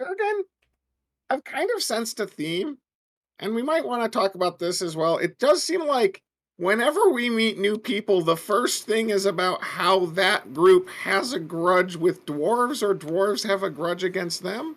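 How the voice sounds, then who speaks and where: This is a put-on character voice at middle pitch. It moves at a moderate pace. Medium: actual play. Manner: earnest, measured.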